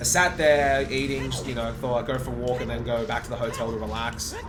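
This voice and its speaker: With music in the background and audible room echo, a man with an Australian accent talks at a fairly quick pace in an animated tone. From Australia, Sydney. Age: 20s. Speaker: video game speedrunner and streamer. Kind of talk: casual livestream chat.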